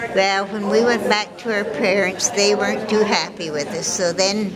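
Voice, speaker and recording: Audible room echo and noticeable background noise surround a woman's voice. She speaks at a moderate pace with fairly even intonation. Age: 80s+. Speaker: local senior resident. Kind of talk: personal reminiscence.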